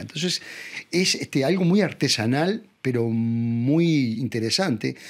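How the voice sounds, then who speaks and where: Speaking with a Uruguayan accent, a man uses a fairly high pitch and very wide pitch swings. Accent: Rioplatense Spanish (Uruguayan). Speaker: actor. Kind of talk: interview answer.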